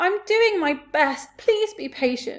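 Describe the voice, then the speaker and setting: A woman puts on a character voice, pitched high. She speaks fairly slowly, with very wide swings in pitch. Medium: read story. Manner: meek, apologetic.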